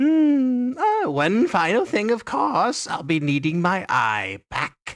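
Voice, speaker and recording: This man uses a put-on character voice at a high pitch. He speaks at a fairly slow pace. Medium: actual play. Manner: sly, covetous, imperious.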